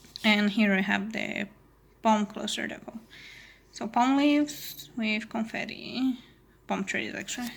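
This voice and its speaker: A woman with a non-native accent speaks at a fairly slow pace with long, frequent pauses, her fairly high, somewhat breathy voice keeping a fairly even intonation while her loudness swings widely. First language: not English. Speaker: crafting youtuber. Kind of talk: casual haul video chat. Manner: casual with fillers.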